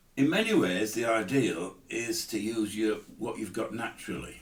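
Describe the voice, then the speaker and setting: Audible room echo surrounds this recording. A man with a fairly low pitch speaks at a fairly slow pace. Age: 70s. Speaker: amateur guitarist. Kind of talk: tutorial. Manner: casual, hesitant.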